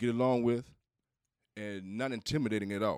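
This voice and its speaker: In a very clean recording with a silent background and a dry, close sound without echo, a man with an American accent uses a normal speaking voice at a medium pitch with fairly even intonation. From US Southeast. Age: middle-aged. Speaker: podcast co-host. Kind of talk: casual chat.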